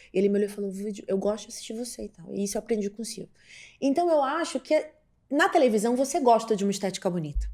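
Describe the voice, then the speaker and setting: Speaking at a very fast pace, a woman with a fairly high pitch and a dark, mellow tone uses lively intonation and big swings in loudness. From Pará, northern Brazil (Belém). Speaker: TV journalist and presenter. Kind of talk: podcast interview. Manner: outspoken, assertive.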